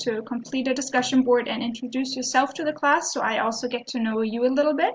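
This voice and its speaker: A high-pitched woman's voice in a German accent, with ordinary pitch variation. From Germany. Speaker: professor. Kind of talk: course introduction video. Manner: hesitant, frequent ums.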